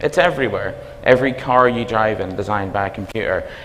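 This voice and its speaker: With a strong Belfast accent, a man talks at a very fast pace amid noticeable background noise and audible room echo. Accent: Belfast accent, self-described as strong. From Northern Ireland, Belfast. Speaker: university dean, computing academic. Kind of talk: conference talk. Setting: stage with audience. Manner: animated.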